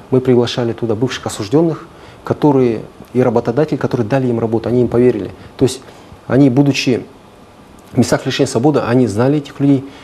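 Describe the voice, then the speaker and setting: A man's very fast speech with fairly even intonation, long and frequent pauses, and light background noise. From Kazakhstan. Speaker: prosecutor official; guest. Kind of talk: studio interview. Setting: studio. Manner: formal. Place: studio.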